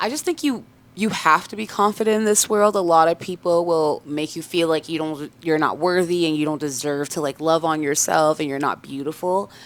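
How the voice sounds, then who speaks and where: A woman with a plain, everyday voice talks at a fairly low pitch and a fairly quick pace, with hardly any pauses. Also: ordinary pitch variation. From Canada, Toronto area (born in Congo, moved at three). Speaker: singer. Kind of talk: casual interview chat.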